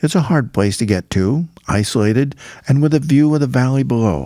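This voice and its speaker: In a very clean recording with a silent background, a man with an American accent and a dark, mellow tone speaks at a moderate pace with very wide pitch swings. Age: 80s+. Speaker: cowboy poet. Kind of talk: spoken-word story narration.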